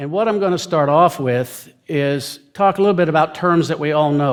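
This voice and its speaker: Here is a man with an unremarkable speaking voice in a fairly high pitch at a moderate pace. The recording is very clean with a silent background. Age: 60s. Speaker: scientist giving a talk. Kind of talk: lecture. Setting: stage in a church.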